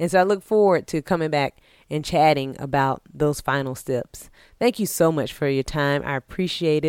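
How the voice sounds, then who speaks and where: The sound is dry and close, with no echo, on a very clean recording with a silent background. The pace is moderate and the pitch varies in an ordinary way. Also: woman, very deep, low pitch for a woman. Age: 30s. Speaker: podcast host. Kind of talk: solo motivational monologue. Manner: casual, with fillers and restarts.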